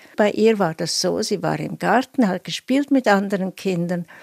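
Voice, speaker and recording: A woman with a plain, everyday voice speaks at a medium pitch with lively intonation. The recording is very clean, with a silent background and a dry, close sound with no echo. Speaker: psychoanalyst. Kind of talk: interview excerpt.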